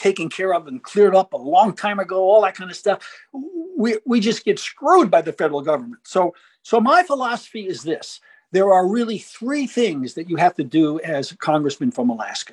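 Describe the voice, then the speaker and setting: Lively intonation in an American accent, a moderate pace and big swings in loudness, with dry, close sound, no echo and a quiet background. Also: man. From New York suburbs (Westchester County). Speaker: gardening columnist and congressional candidate. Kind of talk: interview.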